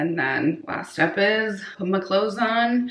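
A woman is heard with audible room echo. Light background noise sits behind her. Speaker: lifestyle vlogger. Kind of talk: casual vlog chat. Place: bathroom. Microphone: phone near.

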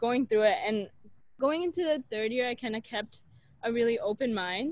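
A woman speaks with an American accent, her pitch high and her intonation lively. The sound is dry, with no echo. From US Pacific Northwest, Portland, Oregon; Oregon. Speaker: medical student; podcast guest. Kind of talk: casual interview chat. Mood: warm, enthusiastic. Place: garden. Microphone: earbuds.

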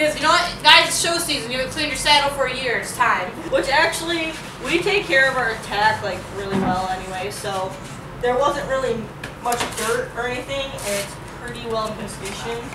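A woman's raised, projected voice at a fairly quick pace, over noticeable background noise. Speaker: vlogger. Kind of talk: casual vlog chat. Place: garage. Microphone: camera far.

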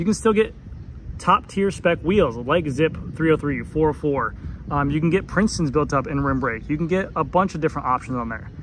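Light background noise sits behind a man who talks at a moderate pace with lively intonation in a dry sound with no echo. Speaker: bike reviewer. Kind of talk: casual product commentary. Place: street. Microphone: phone near.

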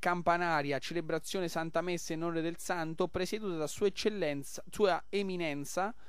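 A man talks in an upbeat, enthusiastic tone. His pitch is high, with ordinary variation. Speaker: radio host. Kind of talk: radio pitch promoting a festival taverna and event schedule. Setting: live radio broadcast from a local festival. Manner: upbeat, rapid-fire, enthusiastic promoter; jovial, chatty, superlative-laden.

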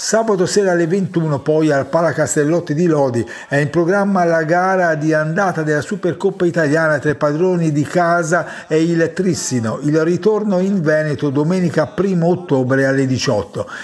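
Against noticeable background noise, a man with a fairly high pitch and ordinary pitch variation talks at a moderate pace with very even loudness and hardly any pauses. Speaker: sports reporter. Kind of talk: news reading.

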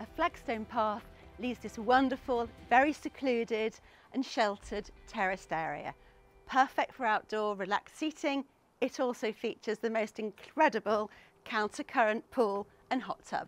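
Music plays in the background as a woman speaks at a moderate pace. Her pitch variation is ordinary, and the sound is dry with no echo. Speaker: presenter. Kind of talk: property tour presentation. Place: garden.

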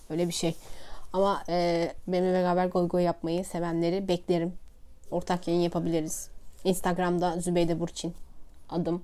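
A woman speaks in a monotone with flat intonation and a dark, mellow tone. The recording is very clean, with a silent background. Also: fairly low pitch for a woman, moderate pace. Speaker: vlogger and science teacher. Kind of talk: casual vlog monologue. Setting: at home, sitting on a pouf. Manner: chatty, talkative.

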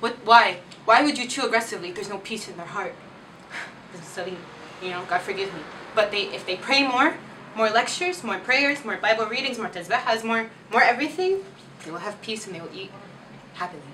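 Light background noise sits under a woman who speaks very fast. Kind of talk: comedy sketch monologue. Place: home room. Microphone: camera far.

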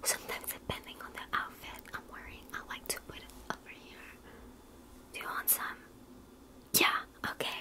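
A woman is whispering. She keeps a moderate pace. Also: big swings in loudness. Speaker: makeup roleplay creator. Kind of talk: roleplay makeup chat to viewer. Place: home room. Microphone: phone near.

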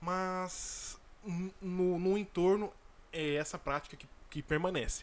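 A man's high-pitched voice at a very slow pace, fairly even in intonation, with long, frequent pauses. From Brazil. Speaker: dropshipping entrepreneur and YouTuber; dropshipping content creator. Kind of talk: casual vlog tutorial. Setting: home recording. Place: home room. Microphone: studio mic.

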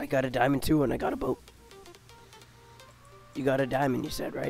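Music plays in the background as a man talks at a very fast pace. His fairly high voice stays flat and monotone. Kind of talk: casual gameplay commentary.

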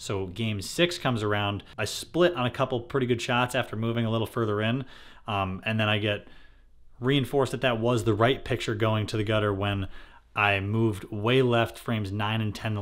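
At a moderate pace, a man speaks against a quiet background. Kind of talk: casual vlog chat. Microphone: phone near.

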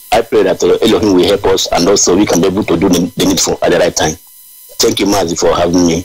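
Over noticeable background noise, a man with a Nigerian accent talks at a very fast pace, his loudness very even. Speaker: activist coordinator. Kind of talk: call-in radio show. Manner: halting.

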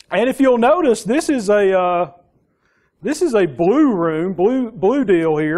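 A man in a strong Southern US accent, high in pitch with very wide pitch swings, at a fairly slow pace over a quiet background. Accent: strong Southern US drawl. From US South. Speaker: security architect, conference speaker; conference presenter. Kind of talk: conference talk. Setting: conference room with audience. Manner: halting, many fillers and repeats. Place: classroom.

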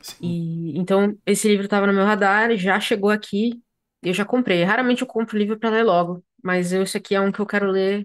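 A woman at a fairly quick pace, her intonation fairly even, against a quiet background. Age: 30s. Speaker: podcast host. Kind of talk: casual chat. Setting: video recording. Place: home room. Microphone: earbuds.

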